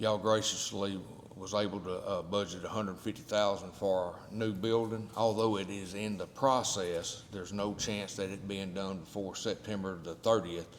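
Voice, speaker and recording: In an American accent, a man talks at a moderate pace with hardly any pauses. His fairly low voice stays monotone and flat, with audible room echo. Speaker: county official presenting budget. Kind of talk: budget presentation at public meeting.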